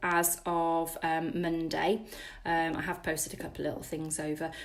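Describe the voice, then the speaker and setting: Here a woman talks at a fairly slow pace. She has a British accent. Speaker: spiritual wellness teacher. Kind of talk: live-stream workshop. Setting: live stream with viewer comments.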